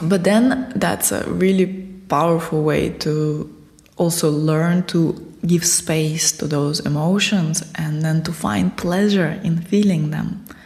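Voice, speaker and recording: In a Russian accent, the speaker talks at a very slow pace with ordinary pitch variation over noticeable background noise. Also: woman, fairly low pitch for a woman. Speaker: spiritual teacher. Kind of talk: interview.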